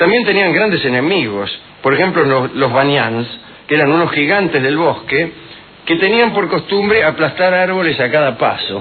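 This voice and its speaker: A man with an Argentine accent speaks at a moderate pace, his fairly high voice carrying lively intonation and very even loudness. Background noise is noticeable. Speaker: radio host. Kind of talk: humorous radio monologue. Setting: radio studio.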